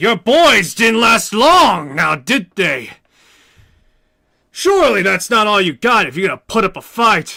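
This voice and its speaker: A put-on character voice shouts, raised and projected, at a fairly slow pace. The recording is very clean, with a silent background. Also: man, high pitch for a man. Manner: taunting, yelling.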